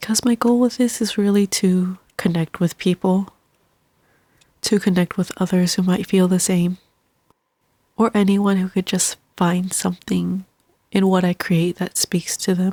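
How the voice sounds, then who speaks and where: A woman with a medium pitch and a somewhat breathy voice talks at a fairly slow pace, leaving long, frequent pauses. Her loudness stays very even, on a very clean recording with a silent background. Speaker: artist. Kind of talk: personal vlog narration.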